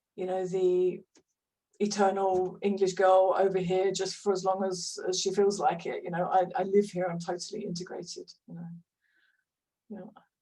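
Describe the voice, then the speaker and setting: A woman's medium-pitched, dark, mellow voice at a moderate pace, monotone and flat in intonation, with big swings in loudness. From London, England. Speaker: hypnotherapist. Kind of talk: interview conversation. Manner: hesitant, many fillers.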